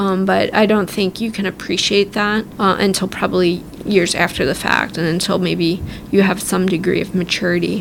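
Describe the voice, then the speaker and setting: A woman speaks at a moderate pace with an American accent, her medium-pitched voice held in a flat, monotone intonation. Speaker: army officer. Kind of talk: interview. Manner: casual with filler words.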